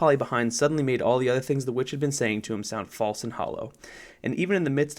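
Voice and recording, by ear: The pitch shows ordinary variation. Someone reads aloud in a natural voice.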